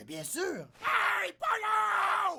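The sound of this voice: A shouted, high-pitched cartoonish character voice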